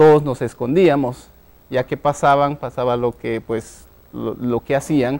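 A man speaks at a fairly slow pace, his medium-pitched voice carrying fairly even intonation. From Guatemala, Huehuetenango highlands; Guatemala. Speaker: tech entrepreneur; guest. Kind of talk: interview. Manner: halting, many fillers. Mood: reflective, storytelling. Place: studio. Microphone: lapel.

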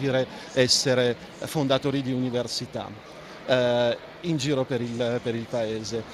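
Over noticeable background noise, a man talks at a moderate pace. The sound is dry with no echo, and his intonation is fairly even. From Armenia. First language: Armenian (speaking Italian). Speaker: ambassador; interviewee. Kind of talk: interview. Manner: halting, many fillers. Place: studio. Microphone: handheld.

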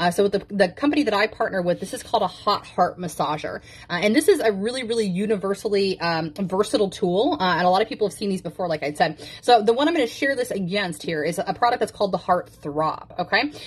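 A somewhat breathy woman races along at a very fast pace with lively intonation and hardly any pauses. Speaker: intimacy coach. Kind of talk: product demo talk. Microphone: phone near.

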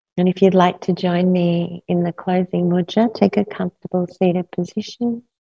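Over a quiet background, a woman speaks in a soothing, calm tone, somewhat breathy and monotone with flat intonation, with hardly any pauses. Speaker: yoga nidra teacher. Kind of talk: guided meditation; guided meditation instruction. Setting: live class with a group. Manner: slow, soothing, calm and rhythmic, with long pauses. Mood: calm, soothing, slow. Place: home room.

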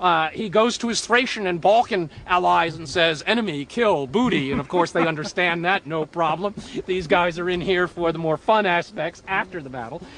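Amid noticeable background noise, a man speaks at a high pitch with ordinary pitch variation and hardly any pauses. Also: moderate pace. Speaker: historian or professor. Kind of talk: documentary expert commentary. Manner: animated, conversational, energetic; hesitant, with frequent fillers.

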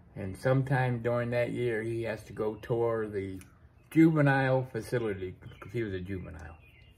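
Somewhat breathy, a man speaks at a fairly quick pace with ordinary pitch variation and big swings in loudness. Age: 40s. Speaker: vlogger. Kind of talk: casual monologue. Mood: relaxed storytelling. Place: workshop. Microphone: phone near.

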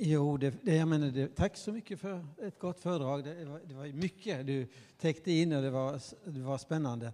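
The voice has a dark, mellow tone and a moderate pace. Its pitch varies in an ordinary way, while the loudness swings widely. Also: man, fairly high pitch for a man. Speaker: professor of religious studies. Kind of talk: panel discussion. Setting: stage with audience. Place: stage. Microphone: handheld.

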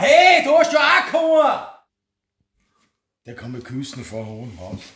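A man speaks at a fairly slow pace, his loudness swinging widely. Room echo can be heard, with light noise behind him. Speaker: woodworker. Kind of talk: casual workshop chat in dialect. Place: workshop. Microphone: phone near.

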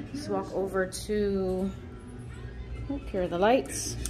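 Over clear background music, a woman speaks at a fairly low pitch. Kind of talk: casual vlog chat. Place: home room. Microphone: phone near.

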